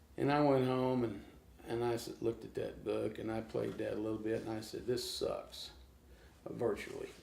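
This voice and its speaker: A man speaks with an American accent at a moderate pace. Audible room echo surrounds his voice. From Oklahoma, US. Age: 60s. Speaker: blues guitarist. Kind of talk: casual interview.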